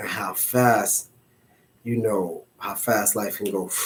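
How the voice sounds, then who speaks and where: In a monotone, flat intonation, a man speaks at a very slow pace. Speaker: motivational vlogger. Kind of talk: casual monologue.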